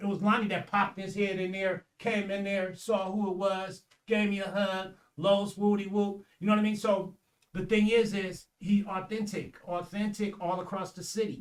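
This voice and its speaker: A man's high-pitched voice, flat and monotone, at a moderate pace. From San Francisco, California. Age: 60s. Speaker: community advocate. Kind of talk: casual chat. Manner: halting.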